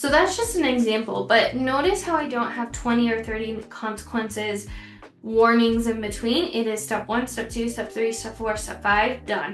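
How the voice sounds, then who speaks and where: With noticeable background noise and audible room echo, a woman talks in a fairly high pitch. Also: ordinary pitch variation, moderate pace. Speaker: teacher. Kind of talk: tutorial.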